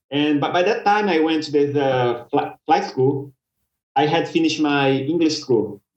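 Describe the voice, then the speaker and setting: With a Brazilian accent, a man talks in a fairly high pitch. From Brazil, Belo Horizonte. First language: Portuguese. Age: 30s. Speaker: commercial pilot. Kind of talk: podcast interview. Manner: halting, repeats words.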